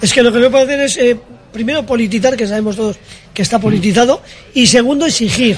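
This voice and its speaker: Over noticeable background noise, a man talks very fast with lively intonation at an extremely high pitch. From Bilbao, Basque Country. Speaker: café owner. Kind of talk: casual chat. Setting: café. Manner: animated.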